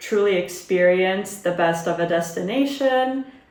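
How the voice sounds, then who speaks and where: The speech moves at a very slow pace. Audible room echo surrounds it. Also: woman. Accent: American. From Italy (Turin) and US (Maine, Boston). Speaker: travel vlogger. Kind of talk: get-to-know-me Q&A vlog.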